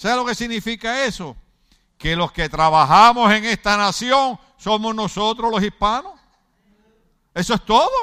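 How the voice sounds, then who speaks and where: A man with a high pitch uses a raised, projected voice with a bright, sharp tone. He talks at a fairly slow pace with long, frequent pauses. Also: ordinary pitch variation. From Puerto Rico, Ponce. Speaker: pastor. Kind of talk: sermon. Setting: church.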